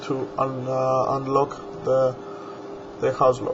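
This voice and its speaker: A man with a medium pitch talks at a very slow pace. There is noticeable background noise. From Greece. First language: Greek. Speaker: hobbyist video maker. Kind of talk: tutorial. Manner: halting.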